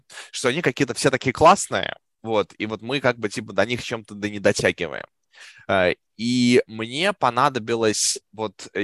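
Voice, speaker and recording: Over a quiet background, a man at medium pitch speaks at a moderate pace with long, frequent pauses and ordinary pitch variation, the sound dry and close with no echo. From Russia. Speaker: product manager. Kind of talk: podcast interview.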